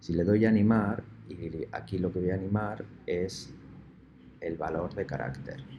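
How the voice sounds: A man's low voice at a moderate pace, with ordinary pitch variation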